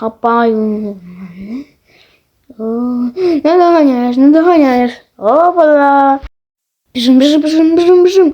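Using a put-on character voice, a man talks at an extremely high pitch and a fairly slow pace with long, frequent pauses. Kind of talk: comic amateur fan dub. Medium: fan dub. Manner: loud, exclamatory, comic overacting.

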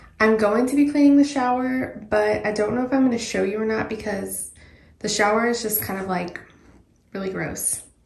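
Over light background noise and audible room echo, a woman speaks at a fairly quick pace with ordinary pitch variation. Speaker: home cleaning vlogger. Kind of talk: casual vlog chat. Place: bathroom. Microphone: phone near.

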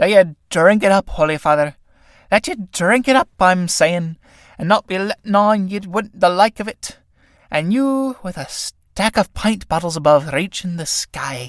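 In a shrill, put-on character voice with a high pitch, a man speaks at a moderate pace with lively intonation on a very clean recording with a silent background and a dry, close sound with no echo. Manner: coaxing, cheeky.

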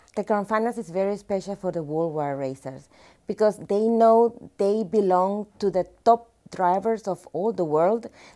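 A woman with a Spanish accent speaks at a fairly slow pace in a dark, mellow tone, with ordinary pitch variation over a quiet background. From Panama. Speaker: motorsport event organizer. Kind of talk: promotional video presentation. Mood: warm, friendly. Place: studio. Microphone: lapel.

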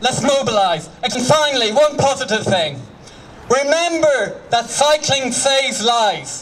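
Over light background noise, a man with an extremely high pitch talks at a fairly slow pace, with ordinary pitch variation and very even loudness. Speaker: cycling campaigner addressing a rally. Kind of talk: rousing outdoor protest speech urging mass mobilisation. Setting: outdoors at a street protest with crowd. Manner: impassioned, rallying, repeating slogans like mobilise, radicalise; leads crowd in loud call-and-response cheers. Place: street. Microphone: handheld.

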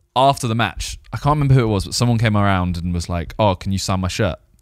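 At a very fast pace, a man with a fairly low voice uses lively intonation, the sound dry with no echo and the background quiet. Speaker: podcast host. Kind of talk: casual podcast storytelling. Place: studio. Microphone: studio mic.

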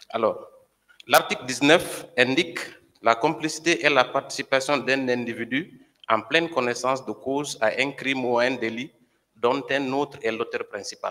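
A fairly slow pace and fairly even intonation over a quiet background. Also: man. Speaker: civil party lawyer. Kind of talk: courtroom questioning. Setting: courtroom. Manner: formal. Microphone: podium.

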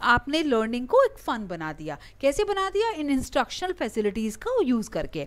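A woman's voice swings very widely in pitch. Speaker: online lecturer for exam preparation. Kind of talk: lecture. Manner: hesitant, many filler sounds.

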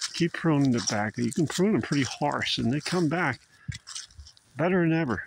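The recording has a dry sound with no echo but noticeable background noise. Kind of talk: casual vlog chat. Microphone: phone near.

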